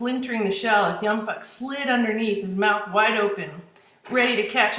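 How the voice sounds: Fairly even intonation in a natural reading voice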